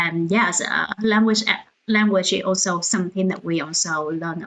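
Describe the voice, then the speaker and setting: With a Vietnamese accent, a woman talks at a fairly slow pace in a medium pitch with ordinary pitch variation. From central Vietnam, Da Nang. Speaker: founder of a cultural organization, livestream host. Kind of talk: livestream talk. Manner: hesitant, many fillers.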